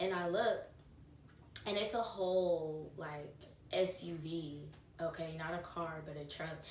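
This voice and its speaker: Against noticeable background noise and audible room echo, a woman speaks in an animated tone at a fairly low pitch. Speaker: lifestyle vlogger. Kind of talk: casual chat.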